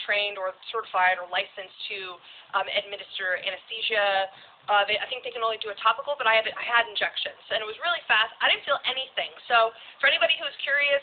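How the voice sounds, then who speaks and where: A woman talks at a fairly quick pace in an American accent. Her pitch is fairly high, and there is noticeable background noise. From Alaska, US. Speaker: tattooed model and live streamer. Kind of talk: casual live stream chat. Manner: fast; loud.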